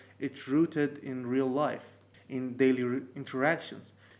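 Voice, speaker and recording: At a fairly slow pace, a man with a medium pitch speaks with a non-native accent. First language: not English. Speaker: language learning youtuber. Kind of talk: tutorial. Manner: some hesitations and false starts.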